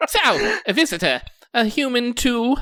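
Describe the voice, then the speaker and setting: A put-on character voice, squeaky and fairly high in pitch, talks at a moderate pace. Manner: curious, slightly wary.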